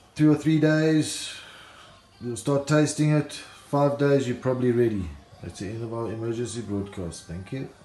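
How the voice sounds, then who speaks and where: Over music in the background, a man at medium pitch talks at a moderate pace, with ordinary pitch variation and big swings in loudness. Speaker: home brewer. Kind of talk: tutorial.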